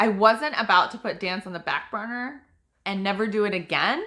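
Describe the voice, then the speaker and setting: Loud and bright with a sharp tone, a woman with a General American accent speaks at a moderate pace, her fairly high pitch showing ordinary variation. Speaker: author. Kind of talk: reading aloud.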